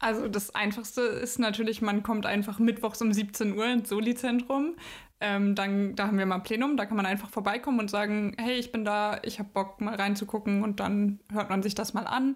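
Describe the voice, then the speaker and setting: Over a silent background in a very clean recording, a woman talks at a moderate pace in a fairly high pitch with monotone, flat intonation. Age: 20s. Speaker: climate activist, university student. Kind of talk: interview.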